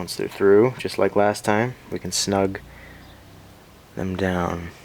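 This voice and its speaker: Over noticeable background noise, a man with a fairly low pitch speaks in a relaxed tone at a very slow pace, with fairly even intonation. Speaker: whip maker. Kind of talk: tutorial. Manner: relaxed, instructional.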